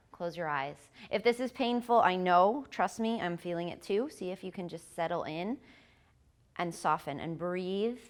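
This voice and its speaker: Speaking at a moderate pace, a woman with a medium pitch shows big swings in loudness. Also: very clean recording, silent background. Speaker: yoga instructor. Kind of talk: yoga class instruction.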